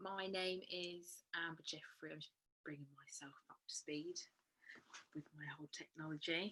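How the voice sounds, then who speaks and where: A woman with an English accent speaks at a moderate pace in a bright, sharp tone. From southern England (Berkshire). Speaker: event speaker. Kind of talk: personal talk.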